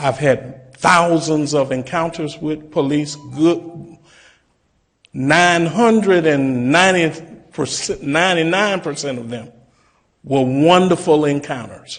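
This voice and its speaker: At a very slow pace, a man with fairly high pitch talks with ordinary pitch variation. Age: 60s. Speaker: pastor. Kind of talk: public comment at a commission meeting. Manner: formal.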